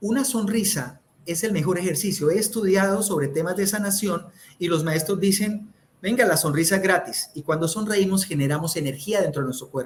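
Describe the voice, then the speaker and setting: A loud voice in a Santander Colombian accent, at a fairly quick pace with ordinary pitch variation. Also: man, high pitch for a man. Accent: Santander Colombian, speaks sharply. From Colombia, Santander. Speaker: communication speaker. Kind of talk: interview. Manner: loud, high tone.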